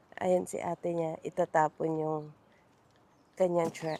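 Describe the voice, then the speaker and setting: This woman's voice is fairly low-pitched, with a dark, mellow tone. She speaks fairly slowly in a flat monotone. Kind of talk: casual vlog narration.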